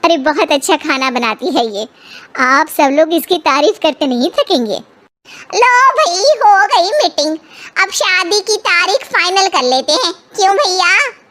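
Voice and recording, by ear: This is a cartoonish character voice from a woman. Her pitch is extremely high. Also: moderate pace.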